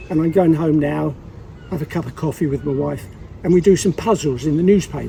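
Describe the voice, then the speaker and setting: A man's fairly high voice comes through noticeable background noise. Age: 80s+. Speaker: local resident. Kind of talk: casual chat.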